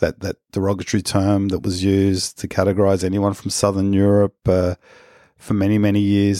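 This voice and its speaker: This speaker has a dark, mellow tone and a monotone, flat delivery in an Australian accent at a moderate pace. The sound is dry and close with no echo, in a very clean recording with a silent background. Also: man. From Australia, Wollongong area (NSW). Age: middle-aged. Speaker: podcast host. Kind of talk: personal monologue. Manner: halting, frequent repetitions.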